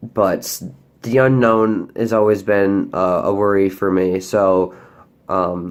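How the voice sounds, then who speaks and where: A man at a fairly low pitch, very slow in pace, with fairly even intonation and very even loudness on a very clean recording with a silent background. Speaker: vlogger. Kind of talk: personal update vlog. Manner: hesitant, many fillers.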